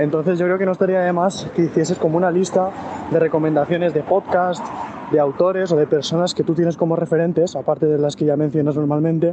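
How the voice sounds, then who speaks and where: A man talks very fast in a fairly high pitch. His intonation is monotone and flat. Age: 20s. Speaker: listener sending a question. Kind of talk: recorded voice message.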